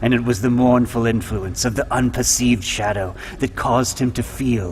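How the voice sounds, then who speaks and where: At a moderate pace, a man talks in a fairly low voice against noticeable background noise. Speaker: voice actor. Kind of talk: horror story narration.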